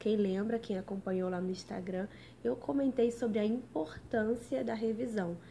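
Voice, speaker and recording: Somewhat breathy, this woman's voice is fairly high in pitch. Her tone is dark and mellow. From Brazil, Rio de Janeiro. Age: 20s. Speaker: lawyer studying for civil service exams. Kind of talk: live stream study tips talk. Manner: casual, chatty.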